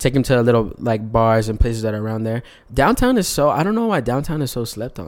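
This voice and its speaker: In a normal speaking voice, a man at a medium pitch talks at a fairly quick pace on a very clean recording with a silent background. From El Paso, Texas. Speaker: R&B singer. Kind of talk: casual chat.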